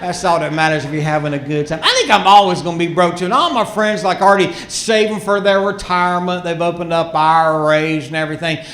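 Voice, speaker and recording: A man with a Southern US accent, high-pitched, at a very fast pace with hardly any pauses, fairly even intonation, audible room echo and noticeable background noise. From US South, Rocky Mount, North Carolina. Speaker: stand-up comedian. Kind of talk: stand-up. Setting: stage with audience.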